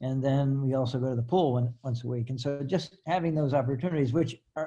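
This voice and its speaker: Somewhat breathy, a man's voice has a dark, mellow tone at medium pitch. His intonation is fairly even at a moderate pace. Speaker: retired professor and author living in a retirement community. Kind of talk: casual panel talk. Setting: video call. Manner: halting with repetitions.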